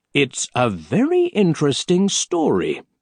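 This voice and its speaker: Using a put-on character voice, a man delivers his lines at a moderate pace. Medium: read story.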